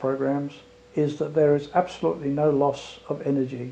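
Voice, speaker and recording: At a moderate pace, a man with an unremarkable speaking voice talks at a fairly high pitch. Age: 60s. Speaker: retired airline pilot giving a testimonial. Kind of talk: testimony.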